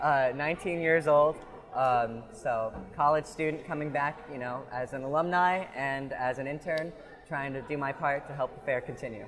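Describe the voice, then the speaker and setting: A man with an American accent, fairly high-pitched, at a moderate pace with ordinary pitch variation, music in the background. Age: 20s. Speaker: fair volunteer and intern. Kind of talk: casual interview. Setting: outdoors at a fair.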